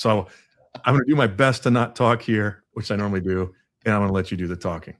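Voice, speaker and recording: A man with an American accent, fairly low pitch and a very fast pace, in a very clean recording with a silent background. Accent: none noticeable by own account. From US Midwest. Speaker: podcast host. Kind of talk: casual interview chat.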